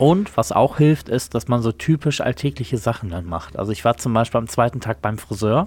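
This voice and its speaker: A man's somewhat breathy, medium-pitched voice at a fairly quick pace, with lively intonation and hardly any pauses. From Germany. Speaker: podcast co-host. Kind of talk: casual chat.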